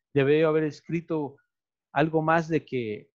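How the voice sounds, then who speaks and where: The recording has a dry, close sound with no echo and a quiet background. A man speaks at a fairly slow pace with a fairly high pitch. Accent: Mexican. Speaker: video podcast host. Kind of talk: casual chat.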